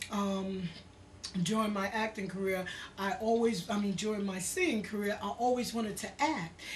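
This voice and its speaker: A woman with a New York accent, amid noticeable background noise and audible room echo. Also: medium pitch for a woman, moderate pace. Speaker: singer and actress. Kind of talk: interview. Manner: casual, animated.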